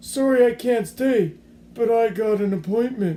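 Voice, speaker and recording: A man puts on a character voice at a high pitch. He keeps a moderate pace. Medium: read story. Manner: folksy, cocky.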